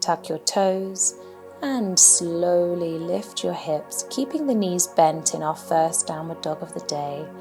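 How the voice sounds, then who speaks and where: Music plays in the background as a woman with a British accent speaks very slowly in a calm tone. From England. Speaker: yoga instructor. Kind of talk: yoga class instruction. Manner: calm, guiding.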